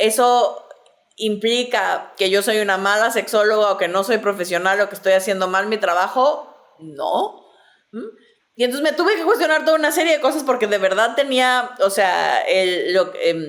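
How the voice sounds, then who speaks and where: At a fairly slow pace, a woman with a fairly high pitch speaks with lively intonation. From Mexico City. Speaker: sexologist, podcast host. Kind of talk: casual chat. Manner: hesitant, many fillers.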